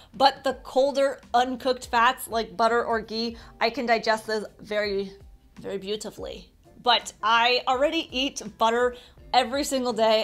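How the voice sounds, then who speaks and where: Over faint music in the background, a woman speaks with fairly even intonation. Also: moderate pace. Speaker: diet vlogger. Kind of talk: casual vlog chat. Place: home room.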